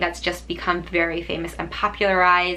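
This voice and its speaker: Speaking at a moderate pace, a woman with an American accent uses a medium pitch. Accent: Korean American. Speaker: author and video creator. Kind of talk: tutorial.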